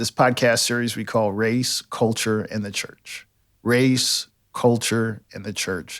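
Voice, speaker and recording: On a very clean recording with a silent background, a man uses an ordinary speaking voice with fairly even intonation. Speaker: pastor. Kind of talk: podcast intro.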